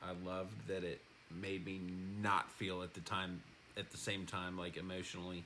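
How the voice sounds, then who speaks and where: A man speaks in a very deep, low pitch. Room echo is audible around his voice. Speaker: husband of the channel host, recovering addict. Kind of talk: casual chat. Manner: loud.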